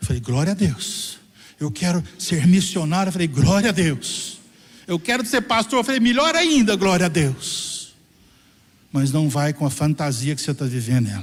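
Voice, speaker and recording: Noticeable background noise sits behind a man speaking at a high pitch. He talks at a moderate pace with very wide pitch swings. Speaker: pastor. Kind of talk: sermon. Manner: animated.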